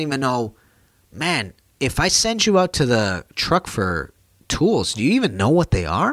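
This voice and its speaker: A man talks with vocal fry and very wide swings in pitch. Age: 30s. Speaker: plumber and podcaster. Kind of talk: casual monologue. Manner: casual, rambling.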